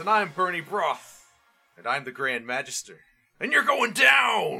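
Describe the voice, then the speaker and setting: Using a put-on character voice, a man speaks high at a moderate pace with very wide pitch swings. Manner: defiant, boastful.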